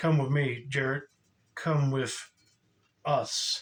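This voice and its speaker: A put-on character voice hisses along at a very slow pace. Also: man, fairly high pitch for a man. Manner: creepy.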